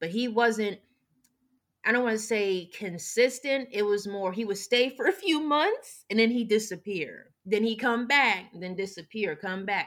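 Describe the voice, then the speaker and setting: A woman at a fairly slow pace and medium pitch, a plain, everyday voice with lively intonation. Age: 30s. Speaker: podcast guest. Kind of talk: personal testimony in a casual interview. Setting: remote recording.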